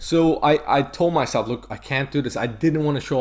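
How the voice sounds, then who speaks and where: A man with a strong American accent talks at a very fast pace. Noticeable background noise is present. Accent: strong American twang. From Turkey. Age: 20s. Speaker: medical student and bodybuilder. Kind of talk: casual interview chat. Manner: halting, many fillers.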